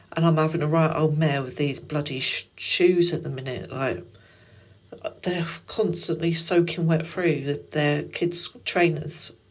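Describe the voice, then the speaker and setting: A woman with an English accent, her very deep, low pitch held in fairly even intonation at a fairly slow pace. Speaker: stay-at-home mum vlogger. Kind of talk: casual vlog chat.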